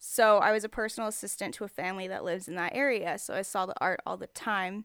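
Here is a woman with an ordinary speaking voice, fairly high pitched and in an American accent. She talks at a fairly quick pace on a very clean recording with a silent background. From Texas. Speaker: street artist and writer. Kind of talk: casual interview chat. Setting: home studio in the desert.

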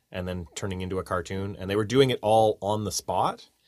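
With a plain, everyday voice, a man speaks at a moderate pace and a fairly low pitch with fairly even intonation, recorded very cleanly against a silent background. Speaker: podcast host, game audio worker. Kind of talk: casual interview chat.

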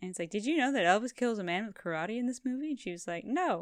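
A woman speaks at a very fast pace with lively intonation. The recording is very clean, with a silent background. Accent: Canadian. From Canada. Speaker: podcast co-host. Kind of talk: casual chat.

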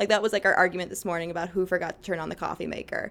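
Vocal fry runs through a woman's speech in an American accent. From Chicago south suburbs, US Midwest. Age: 20s. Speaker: church youth group leader. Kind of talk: casual interview chat.

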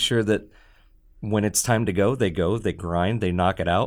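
This man has an ordinary speaking voice, fairly low in pitch. He talks at a moderate pace with ordinary pitch variation. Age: 40s. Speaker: restaurant owner. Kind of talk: casual chat. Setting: studio.

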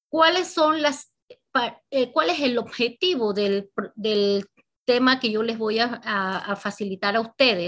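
A woman's very slow, fairly high-pitched speech with lively intonation. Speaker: banking finance instructor. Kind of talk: lecture.

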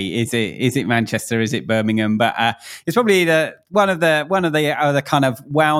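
A man speaks with a South East London accent and very wide pitch swings. The recording is very clean, with a silent background. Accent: South East London, mockney (near-cockney). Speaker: podcast guest, youth and church worker. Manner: hesitant, many fillers.

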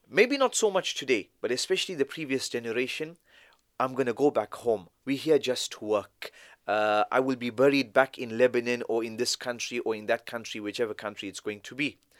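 Delivered with a South African accent, the speech shows big swings in loudness and ordinary pitch variation, recorded as a dry, close sound with no echo on a very clean recording with a silent background. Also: man, medium pitch for a man. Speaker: Islamic scholar. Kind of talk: casual interview.

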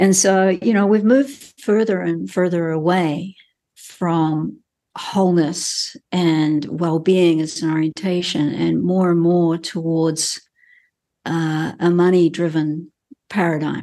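Speaking at a very slow pace with a New Zealand accent, a woman has a fairly low pitch, a dark, mellow tone and fairly even intonation. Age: 60s. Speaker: healthcare professional and coach. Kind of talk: interview.

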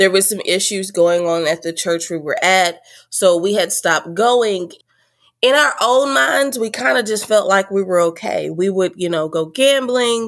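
A woman with an American accent speaks slowly-ish, at a fairly slow pace, in an ordinary speaking voice with a medium pitch and lively intonation. The recording is very clean, with a silent background. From Texas. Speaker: podcaster sharing personal story. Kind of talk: interview testimony.

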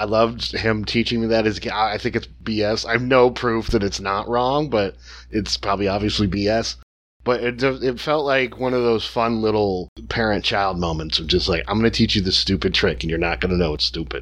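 Speaking at a fairly quick pace, a man with an ordinary speaking voice uses fairly low pitch and ordinary pitch variation. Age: 40s. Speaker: film podcast guest. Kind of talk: casual chat.

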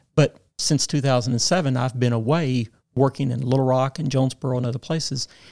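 Talking at a very fast pace, a man with a Southern US accent has a medium pitch, a dark, mellow tone and fairly even intonation, recorded dry and close with no echo. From Arkansas. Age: 60s. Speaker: former state legislator. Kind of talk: interview.

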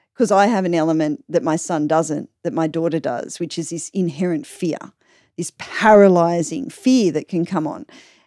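With an Australian accent, a woman speaks at a moderate pace and fairly low pitch, her tone dark and mellow. Her intonation is lively, and the recording is very clean with a silent background. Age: 40s. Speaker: podcaster. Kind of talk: casual chat. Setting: home room padded with fabrics.

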